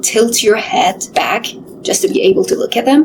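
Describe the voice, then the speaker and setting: A woman talks at a moderate pace in a high pitch, with noticeable background noise behind her. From Middle East. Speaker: former curator, storyteller. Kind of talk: video essay, personal storytelling.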